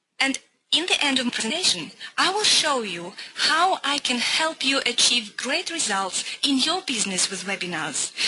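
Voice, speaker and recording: A woman speaks in a Russian accent at a moderate pace. Her high voice swings very widely in pitch. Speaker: business coach. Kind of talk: webinar presentation. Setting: online webinar.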